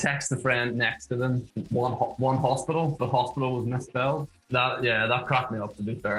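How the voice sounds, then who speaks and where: Fairly quick speech from a man with a Northern Irish accent and medium pitch, with music in the background. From Northern Ireland. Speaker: internet meme subject. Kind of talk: interview monologue. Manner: casual, hesitant with fillers.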